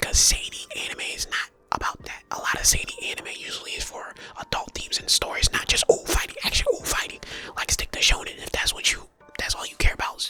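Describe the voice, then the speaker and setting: A man whispers at a very fast pace, with big swings in loudness. Noticeable background noise is present. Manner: whispered, casual, conversational.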